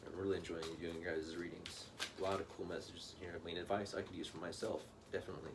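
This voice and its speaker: A man talks at a very fast pace with a very deep, low pitch. Audible room echo surrounds his voice. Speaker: tarot reader. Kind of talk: tarot reading monologue. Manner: animated.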